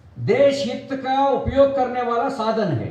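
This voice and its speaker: Someone speaks in a Kannada accent, with noticeable background noise and audible room echo. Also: man. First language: Kannada (speaking Hindi). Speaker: politician. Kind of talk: political speech. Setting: press meet with party workers. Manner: halting, non-fluent Hindi.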